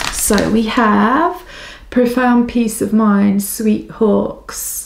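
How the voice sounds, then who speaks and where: A woman's fairly high voice, fairly even in intonation, with noticeable background noise. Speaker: psychic tarot reader. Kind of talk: pick a card reading. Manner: fast.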